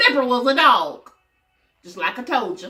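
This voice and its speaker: A woman's high, raised and projected voice at a fairly slow pace, with music in the background. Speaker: storytelling grandmother. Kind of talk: reading aloud to children. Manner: animated.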